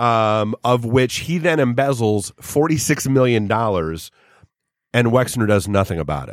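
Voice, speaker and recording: A man with an American accent speaks in a medium pitch at a fairly slow pace with lively intonation. It is a normal speaking voice, on a very clean recording with a silent background. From New Hampshire, US. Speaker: studio producer. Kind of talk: casual chat. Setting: studio.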